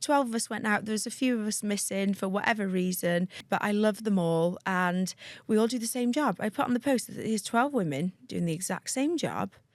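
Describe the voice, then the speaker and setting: With a North Wales accent, a woman at a medium pitch talks at a fairly quick pace with hardly any pauses, on a very clean recording with a silent background. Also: ordinary pitch variation. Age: 30s. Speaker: aesthetics practitioner. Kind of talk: casual interview chat. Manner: animated.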